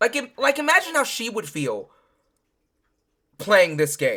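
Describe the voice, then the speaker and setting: Delivered at a moderate pace, the voice has an animated, bright and sharp tone with very wide pitch swings. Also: woman. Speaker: streamer reacting to videos. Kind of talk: live stream reaction commentary. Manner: loud; animated, agitated.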